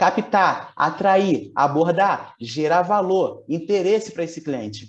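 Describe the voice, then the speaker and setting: This man's pitch is high. He talks at a fairly slow pace. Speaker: business coach. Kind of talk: webinar sales pitch. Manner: animated.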